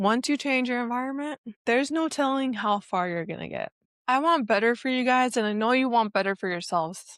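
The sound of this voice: The tone is fairly bright, the sound is dry and close with no echo, the pitch varies in an ordinary way, and the very clean recording has a silent background at a moderate pace. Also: woman, fairly high pitch for a woman.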